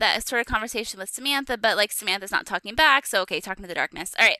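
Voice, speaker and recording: Bright and sharp in tone, a woman speaks at a very fast pace with a fairly high pitch and lively intonation, in a dry, close sound with no echo. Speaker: podcast host. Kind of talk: casual chat.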